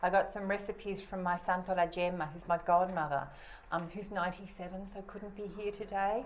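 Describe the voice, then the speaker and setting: Against noticeable background noise, a woman with an Australian accent talks fairly quickly at a medium pitch in a flat monotone. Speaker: cookbook author presenting her book. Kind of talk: talk to an audience. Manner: casual, many fillers and restarts.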